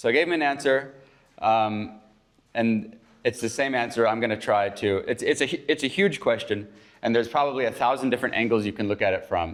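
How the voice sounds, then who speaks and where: A man with an American accent speaks at a fairly quick pace with ordinary pitch variation in an ordinary speaking voice, recorded very cleanly against a silent background. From United States. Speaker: chapel speaker. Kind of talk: informal chapel talk. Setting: morning chapel gathering. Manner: casual, with frequent fillers.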